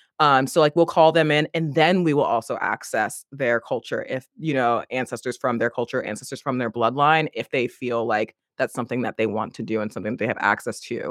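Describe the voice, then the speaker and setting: An ordinary speaking voice from a man, medium in pitch, with an American accent, ordinary pitch variation, a fairly quick pace, and a dry, close sound with no echo on a very clean recording with a silent background. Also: hardly any pauses. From United States. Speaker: life and leadership coach. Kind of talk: casual interview chat.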